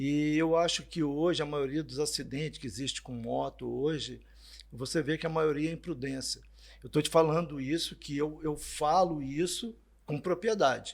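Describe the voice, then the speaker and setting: A man's unremarkable speaking voice, fairly high in pitch, keeps fairly even intonation at a moderate pace. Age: 60s. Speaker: motorcycle dealership sales director. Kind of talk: podcast interview. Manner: casual conversational.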